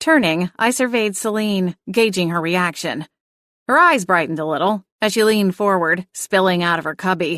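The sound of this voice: An unforced reading voice with ordinary pitch variation over a quiet background.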